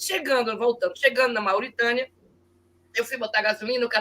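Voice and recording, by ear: A woman with a northeastern Brazilian accent speaks at a high pitch.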